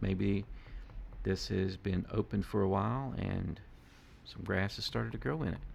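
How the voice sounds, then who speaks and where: A man speaks at a fairly low pitch and a fairly slow pace. Vocal fry colors his voice. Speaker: art teacher. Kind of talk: tutorial.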